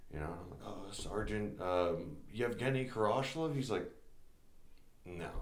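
Amid audible room echo, a man with a fairly low pitch speaks at a fairly slow pace with lively intonation, big swings in loudness, and long, frequent pauses. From New Jersey, moved from Russia at five. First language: Russian. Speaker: Green Beret soldier; podcast guest or host. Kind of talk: casual chat. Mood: relaxed, recounting memories. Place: studio.

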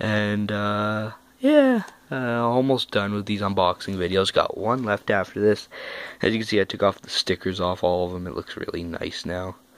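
A man with a fairly low pitch speaks at a moderate pace and fairly even intonation, in a dry sound with no echo. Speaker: YouTuber doing unboxing videos. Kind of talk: casual unboxing vlog. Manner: soft-spoken; halting, many fillers. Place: home room. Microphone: phone near.

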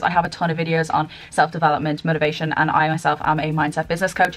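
A woman's very deep, low pitch over light background noise. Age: 20s. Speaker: YouTuber and mindset coach. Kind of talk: vlog-style direct address to camera. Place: home room. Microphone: webcam.

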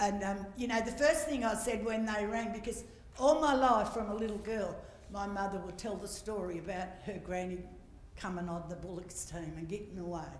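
With an Australian accent, the speaker goes at a fairly quick pace amid light background noise and audible room echo. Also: woman, ordinary pitch variation. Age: 70s. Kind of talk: welcome to country speech. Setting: stage with audience. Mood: earnest, reflective. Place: hall. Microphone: handheld.

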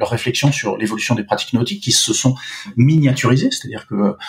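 Noticeable background noise sits behind this man's voice. His pitch varies in an ordinary way. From Paris suburbs, Seine-Saint-Denis. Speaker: sports marketing agency co-founder. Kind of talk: interview. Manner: halting, many repetitions and fillers.

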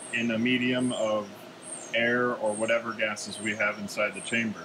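Behind a man speaking with an American accent, there is noticeable background noise. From US Midwest, Wisconsin. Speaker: chemistry grad student. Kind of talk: lab tour explanation. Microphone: phone near.

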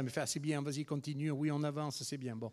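The man talks at a fairly quick pace with monotone, flat intonation. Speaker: museum organizer introducing speakers. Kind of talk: welcome speech. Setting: lecture hall with audience. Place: hall.

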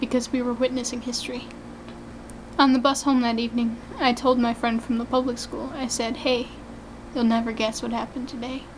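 A woman speaks at a high pitch and a fairly quick pace. Her intonation is monotone and flat, and light background noise is present. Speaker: personal storyteller. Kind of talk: personal story vlog. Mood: somber, emotional. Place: office. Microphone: phone near.

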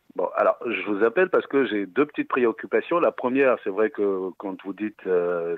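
A man speaks at a moderate pace, the sound dry with no echo and the background quiet. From West Africa. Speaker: caller. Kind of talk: phone-in question. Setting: phone call. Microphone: phone line.

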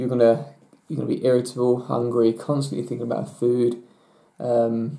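The tone is dark and mellow, with a monotone, flat intonation. The pace is moderate. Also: man, medium pitch for a man. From England. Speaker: natural bodybuilder; bodybuilder vlogger. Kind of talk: Q&A vlog. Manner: hesitant, many fillers. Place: home room. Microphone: webcam.

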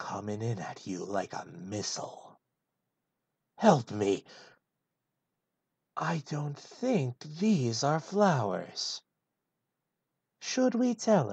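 A put-on character voice sits at a low-to-middle pitch over a quiet background. It moves at a very slow pace with long, frequent pauses. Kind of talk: comedic full script read in a character voice.

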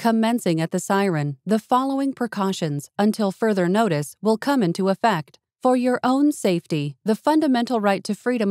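In a plain, everyday voice, a woman speaks at a moderate pace with lively intonation, the sound dry and close with no echo. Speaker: voice actor. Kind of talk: emergency broadcast announcement. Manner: formal, authoritative.

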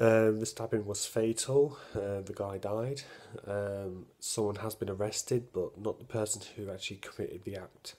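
This man has a fairly low pitch and a dark, mellow tone. His intonation is fairly even, and he moves at a moderate pace. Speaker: vlogger. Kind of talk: casual vlog chat. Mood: serious, recounting a stabbing. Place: home room. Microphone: phone near.

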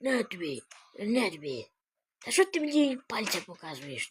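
A put-on character voice at a moderate pace, fairly high in pitch. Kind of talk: comic dub of animal clips. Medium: voice reel. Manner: playful, exclamatory.

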